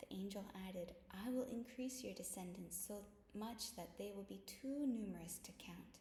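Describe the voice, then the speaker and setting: A woman at a moderate pace amid noticeable background noise and audible room echo. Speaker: bible study vlogger. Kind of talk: casual chat; reading aloud. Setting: at home. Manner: soft-spoken.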